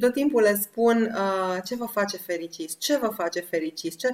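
Woman speaking at a moderate pace with ordinary pitch variation. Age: 40s. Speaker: women's project host. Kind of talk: casual chat. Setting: online video call. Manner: animated.

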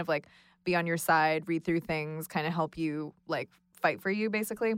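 A woman's normal speaking voice with an American accent, fairly low in pitch, with ordinary pitch variation and a moderate pace, on a very clean recording with a silent background. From Los Angeles. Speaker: illustrator. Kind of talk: casual roundtable discussion. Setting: studio.

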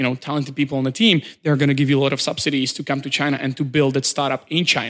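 With a Czech accent, a man talks at a very fast pace and a fairly high pitch. His intonation is fairly even, and the recording is very clean with a silent background. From Czech Republic. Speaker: startup community director. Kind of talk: interview. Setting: in person.

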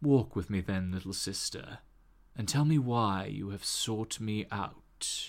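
In a very clean recording with a silent background, a put-on character voice speaks at a fairly slow pace. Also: man, fairly low pitch for a man. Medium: actual play. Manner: slow, grave, evocative.

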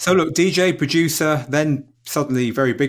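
Noticeable background noise accompanies a man whose delivery is fairly quick. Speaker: podcast host. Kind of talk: casual interview conversation.

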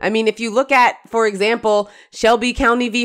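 With an animated tone, a woman talks at a fairly high pitch. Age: 40s. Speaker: legal journalist and podcast co-host. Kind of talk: casual chat.

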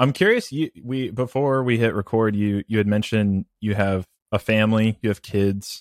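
A man's plain, everyday voice, fairly low in pitch, at a moderate pace with fairly even intonation, in a dry, close, very clean recording with a silent background and no echo. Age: 30s. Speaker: podcast host. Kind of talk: casual interview chat.

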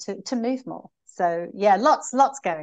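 A woman speaks in an unremarkable speaking voice at a medium pitch and a moderate pace. Her intonation is lively, and the background is quiet. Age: 60s. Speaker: business executive and marathon runner. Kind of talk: interview.

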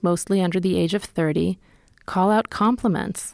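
A woman with an American accent talks in an ordinary speaking voice at a moderate pace. Her medium pitch has fairly even intonation, and the recording is very clean with a silent background. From California. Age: 40s. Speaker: podcast host and reporter. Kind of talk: scripted narration.

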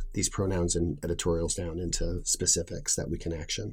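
This man's voice is very deep and low, with a dark, mellow tone and some breathiness. He moves at a fairly quick pace with ordinary pitch variation. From New England. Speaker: chief operating officer. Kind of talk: interview.

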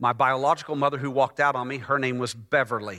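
Talking at a fairly quick pace, a man with a Texan accent has a bright, sharp tone. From Texas (Dallas). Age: 50s. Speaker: pastor. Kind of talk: sermon. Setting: church.

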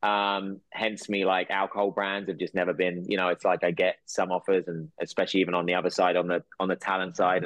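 Speaking very fast with hardly any pauses, a man with a southern English accent talks in a fairly low pitch. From England. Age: 40s. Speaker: actor and entrepreneur. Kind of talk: casual chat.

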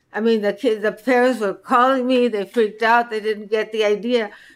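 A woman with a Spanish accent talks at a moderate pace and a fairly high pitch, with fairly even intonation. The recording is very clean, with a silent background. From Mexico, Sonora and Chihuahua borderlands. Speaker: co-host, chef and cookbook author. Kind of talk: casual interview chat. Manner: halting, repeats words.

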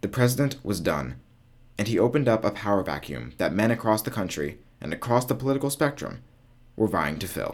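The voice moves at a fairly quick pace with very wide pitch swings. Vocal fry runs through it. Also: man, medium pitch for a man, very clean recording, silent background. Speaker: podcast host. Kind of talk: scripted narration. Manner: formal, solemn.

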